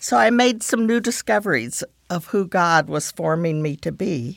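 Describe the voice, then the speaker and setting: On a very clean recording with a silent background, a woman speaks fairly slowly in a very deep, low pitch with vocal fry and very wide pitch swings. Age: 70s. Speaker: podcast host. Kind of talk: devotional talk.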